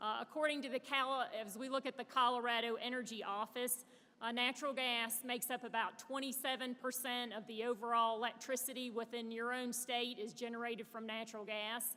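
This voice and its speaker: A woman with a Southern US accent talks at a fairly quick clip in a high, bright, sharp voice, her intonation flat and monotone, with hardly any pauses. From US South (Birmingham, Alabama). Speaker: panel moderator, natural gas industry director. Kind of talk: conference panel moderation speech. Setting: stage with audience at conference. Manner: frequent filler hesitations.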